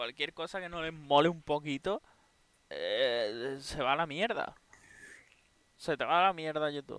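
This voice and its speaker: A man's fairly high voice, dry and close with no echo, fairly slow, with ordinary pitch variation and long, frequent pauses. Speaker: podcast co-host. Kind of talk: casual chat. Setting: live stream.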